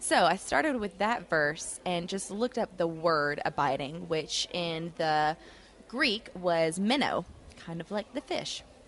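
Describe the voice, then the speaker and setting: At a fairly slow pace, a woman with a fairly low voice speaks with lively intonation. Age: 20s. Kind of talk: casual devotional chat. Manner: animated.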